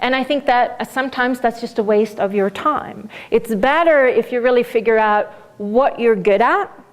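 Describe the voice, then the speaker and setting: Speaking at a moderate pace, a woman with a Swedish accent has a high pitch and ordinary pitch variation. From Sweden. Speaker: business coach. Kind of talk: lecture.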